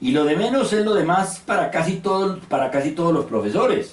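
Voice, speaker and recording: A man speaks at a moderate pace. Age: 60s. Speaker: university professor. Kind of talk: lecture.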